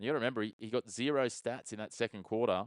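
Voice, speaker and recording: In an Australian accent, a man talks in a monotone, flat intonation, with a dry, close sound that has no echo and a quiet background. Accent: Australian, mistaken by a viewer for British. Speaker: sports streamer and watchalong commentator. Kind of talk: live commentary with chat replies. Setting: live stream. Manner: fast play-by-play.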